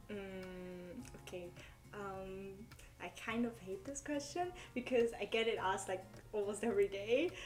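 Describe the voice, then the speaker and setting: Music plays behind a woman speaking at a medium pitch and a fairly slow pace, with ordinary pitch variation. Her pauses are long and frequent, and her loudness swings widely. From Germany. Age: 20s. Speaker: Korean language learner. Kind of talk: casual interview. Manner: hesitant, many fillers.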